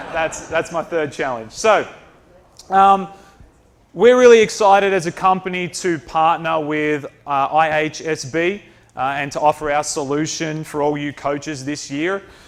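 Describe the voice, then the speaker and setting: Fairly slow speech with an Australian accent and ordinary pitch variation. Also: man, fairly high pitch for a man. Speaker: company presenter. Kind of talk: presentation.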